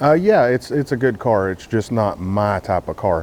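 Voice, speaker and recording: With noticeable background noise, a man talks at a medium pitch and a moderate pace. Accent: Texas. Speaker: car YouTuber. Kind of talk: casual vlog talk to camera. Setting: outdoors, cold morning.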